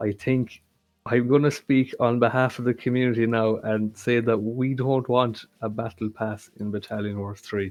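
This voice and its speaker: Over music in the background, a man with an Irish accent speaks at medium pitch and moderate pace in monotone, flat intonation. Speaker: game fan, 3D tank modeller. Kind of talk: casual interview.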